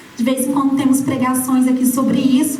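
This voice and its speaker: A woman is heard speaking with audible room echo. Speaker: preacher. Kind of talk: sermon.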